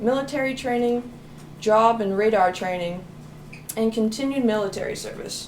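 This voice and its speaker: Over noticeable background noise, a woman with a fairly high pitch and ordinary pitch variation talks at a moderate pace, with long, frequent pauses. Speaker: student interviewer. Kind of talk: interview questions.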